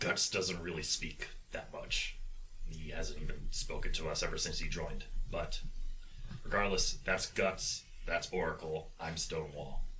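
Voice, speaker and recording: A man's put-on character voice at a moderate pace, with clear background noise. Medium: actual play. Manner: formal, courteous.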